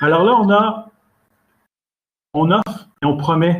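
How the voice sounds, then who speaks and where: A somewhat breathy voice with a Quebec accent and lively intonation. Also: man. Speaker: standards expert and lecturer. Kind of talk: lecture. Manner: halting, with fillers and repetitions.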